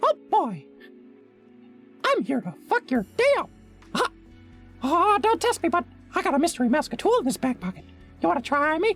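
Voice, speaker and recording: A put-on character voice, pitched high with very wide swings, moves at a moderate pace with long, frequent pauses as faint music plays in the background. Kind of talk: crude, profane. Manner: menacing, cocky, challenging.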